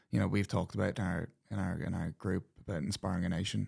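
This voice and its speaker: Talking at a very fast pace, a man with a very deep, low pitch and vocal fry comes through on a very clean recording with a silent background. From Ireland and Australia (County Meath, then Australia age 6 to 16). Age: 20s. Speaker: professional rugby player. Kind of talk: podcast interview. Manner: casual, filler-heavy with repetitions.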